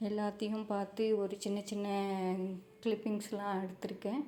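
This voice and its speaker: Pitched fairly high, this woman's voice stays monotone and flat throughout. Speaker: vlogger. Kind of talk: vlog voiceover.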